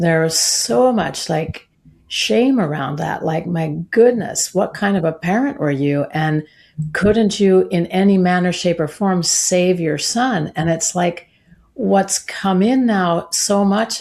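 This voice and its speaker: A woman with a fairly low pitch uses a normal speaking voice with lively intonation at a fairly slow pace, in a very clean recording with a silent background. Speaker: soprano singer and sound healer. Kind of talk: interview answer.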